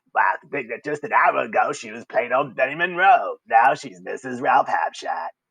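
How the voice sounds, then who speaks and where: A man performs in a put-on character voice with big swings in loudness. He keeps a moderate pace and hardly pauses. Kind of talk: comic overacting. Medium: solo performance.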